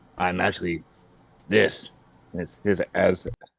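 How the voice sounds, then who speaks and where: This man uses a put-on character voice, raspy and very deep and low in pitch. He speaks at a moderate pace. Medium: actual play.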